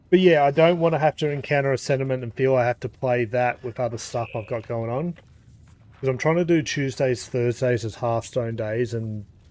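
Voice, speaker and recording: This man talks at a moderate pace in a medium-pitched voice with an Australian accent. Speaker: gaming streamer. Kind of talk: live gameplay stream chat. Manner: casual, filler-heavy.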